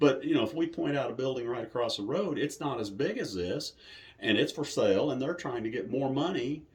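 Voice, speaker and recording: Speech comes at a fairly quick pace with lively intonation. The voice sounds somewhat breathy. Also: man, fairly high pitch for a man. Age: 60s. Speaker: haunted attraction owner. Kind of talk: interview. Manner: casual, conversational.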